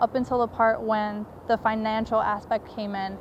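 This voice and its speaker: A plain, everyday voice from a woman, fairly high-pitched, its intonation fairly even and its pace moderate. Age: 20s. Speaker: college student and documentary maker. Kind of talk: personal testimony.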